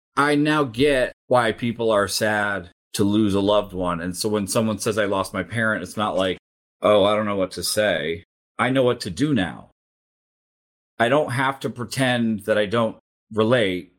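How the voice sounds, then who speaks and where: Against a very clean recording with a silent background, a man has an unremarkable speaking voice, fairly low in pitch. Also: ordinary pitch variation, moderate pace. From Japan (American missionary community, Tokyo). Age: 40s. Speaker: ethical hacker and cybersecurity speaker. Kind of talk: interview conversation.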